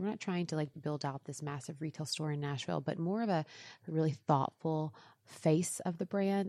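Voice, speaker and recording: Very deep, low female voice in an American accent, dark and mellow in tone, at a fairly quick pace on a very clean recording with a silent background. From East Texas, US. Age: 30s. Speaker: fashion blogger and influencer, former nurse. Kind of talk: casual interview. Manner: hesitant, many fillers.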